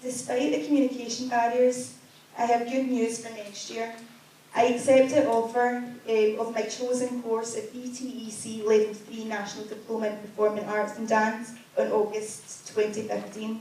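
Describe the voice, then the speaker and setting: A woman speaks at a moderate pace and fairly high pitch with monotone, flat intonation and big swings in loudness, amid audible room echo and noticeable background noise. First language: Chinese. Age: young. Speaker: deaf student giving a presentation. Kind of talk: prepared presentation read aloud.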